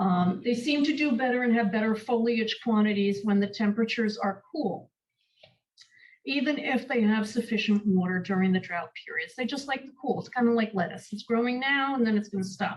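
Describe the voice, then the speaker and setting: With a New York accent, a woman speaks at a fairly quick pace in a fairly high, somewhat breathy voice. Her pitch variation is ordinary. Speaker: master gardener presenter. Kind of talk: workshop lecture.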